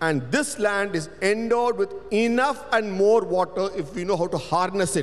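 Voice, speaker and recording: A man speaks in a high voice with a Tamil accent. He keeps a moderate pace. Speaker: panelist, cultural researcher. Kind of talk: panel discussion. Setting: stage with audience.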